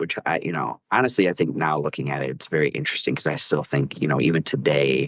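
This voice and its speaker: In an American accent, the speaker talks at a very fast pace with hardly any pauses and vocal fry. Pitch variation is ordinary, and the sound is dry and close with no echo. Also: man, very deep, low pitch for a man. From rural Wisconsin, US Midwest. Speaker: podcast guest. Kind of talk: casual chat.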